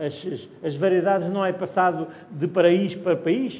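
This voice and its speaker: Against noticeable background noise and audible room echo, a man with a high pitch speaks at a fairly slow pace with ordinary pitch variation. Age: 70s. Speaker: wine educator. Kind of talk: wine tasting talk. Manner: halting, with false starts.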